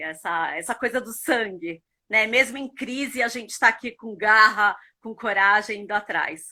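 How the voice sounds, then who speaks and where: A woman speaks at a fairly slow pace with a bright, sharp tone. The recording is very clean, and the background is silent. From Brazil, São Paulo (born in Buenos Aires). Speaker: marketing professional and mentor. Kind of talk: interview. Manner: animated.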